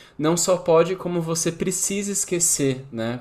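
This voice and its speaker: The man here speaks with a high pitch. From São Paulo, Brazil. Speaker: podcast host. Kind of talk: casual interview conversation.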